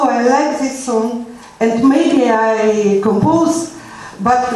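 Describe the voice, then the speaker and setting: Through noticeable background noise and audible room echo, a woman with a non-native accent speaks at a very slow pace in a high pitch with lively intonation. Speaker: musician. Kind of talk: workshop talk. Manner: halting.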